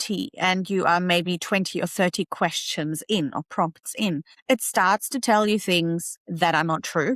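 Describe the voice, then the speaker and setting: A woman at a medium pitch and moderate pace, with ordinary pitch variation and hardly any pauses, in a very clean recording with a silent background and a dry, close sound with no echo. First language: not English. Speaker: tech YouTuber and AI educator. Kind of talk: tutorial. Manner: casual, conversational.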